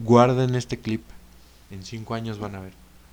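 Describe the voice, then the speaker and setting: A man talking at a fairly quick pace with a Mexican accent. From Mexico. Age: 20s. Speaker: podcaster. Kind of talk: casual monologue.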